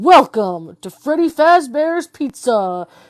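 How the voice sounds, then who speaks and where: Putting on a character voice, a woman speaks high-pitched and theatrical at a fairly slow pace, her pitch swinging very widely over a quiet background. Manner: booming, theatrical.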